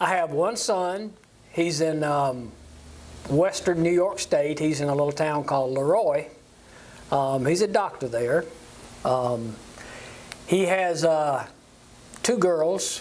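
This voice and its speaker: Very slow, with long, frequent pauses and a South Carolina accent. The loudness stays very even, pitch varies in an ordinary way, and background noise is noticeable. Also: man, fairly high pitch for a man. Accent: Southern US, South Carolina. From US South, upstate South Carolina (Walhalla). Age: 70s. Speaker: church lay leader. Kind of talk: interview. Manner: halting, many fillers.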